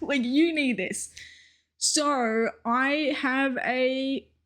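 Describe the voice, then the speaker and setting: A woman with an Australian accent speaks in a high pitch and an animated tone, in a very clean recording with a silent background. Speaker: streamer. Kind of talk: casual vlog monologue.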